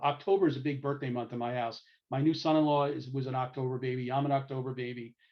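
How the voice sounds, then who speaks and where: A man talks at a very fast pace with a New York accent. His pitch is medium, with ordinary pitch variation. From New York City, Brooklyn. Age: 60s. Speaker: lecturer. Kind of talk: lecture.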